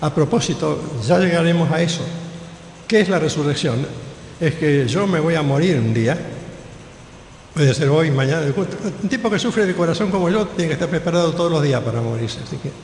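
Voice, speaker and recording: A man's fairly high voice at a fairly quick pace, lively in intonation and broken by long, frequent pauses, with audible room echo and noticeable background noise. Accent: Rioplatense. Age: 70s. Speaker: pastor. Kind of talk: sermon.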